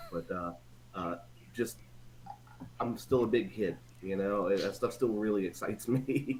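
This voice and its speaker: A man with an American accent talks in a fairly low pitch with vocal fry and ordinary pitch variation, leaving long, frequent pauses. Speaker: old school friend of the host. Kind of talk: casual chat. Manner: fast.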